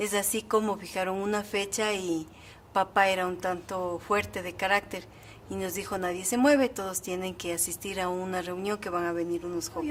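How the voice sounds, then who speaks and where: With a plain, everyday voice, a woman talks at a moderate pace, keeping a medium pitch and fairly even intonation. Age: 60s. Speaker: church member interviewee. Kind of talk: testimony.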